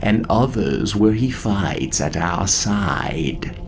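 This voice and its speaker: A man's put-on character voice, soft-spoken and solemn, fairly low in pitch and very slow, over loud background noise. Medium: audio drama. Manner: solemn, soft, self-assured.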